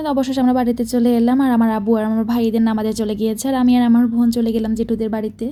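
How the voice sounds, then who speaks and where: A woman's fairly high pitch and monotone, flat intonation over noticeable background noise. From Bangladesh. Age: young. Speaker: vlogger. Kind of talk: vlog voice-over narration.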